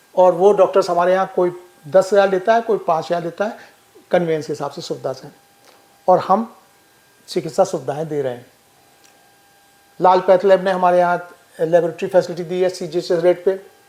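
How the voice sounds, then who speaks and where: Against noticeable background noise, a man with a high pitch speaks in fairly even intonation, leaving long, frequent pauses. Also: moderate pace, big swings in loudness. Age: 70s. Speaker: social worker. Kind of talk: interview.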